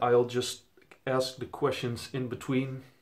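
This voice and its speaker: A man with a Dutch accent speaks at a fairly slow pace. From Netherlands. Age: 20s. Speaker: vinyl collector YouTuber. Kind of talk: casual vlog introduction. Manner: casual with fillers.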